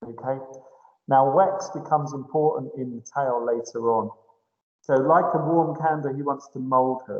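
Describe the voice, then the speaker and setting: This is a plain, everyday voice from a man with a fairly high pitch and ordinary pitch variation. He talks at a moderate pace, and his loudness swings widely. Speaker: English teacher. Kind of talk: lecture.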